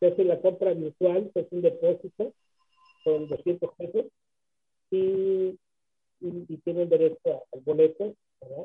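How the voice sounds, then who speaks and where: A man's high-pitched, monotone voice at a fairly slow pace, with long, frequent pauses and big swings in loudness. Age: 70s. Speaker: rock drummer and band founder. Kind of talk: radio interview.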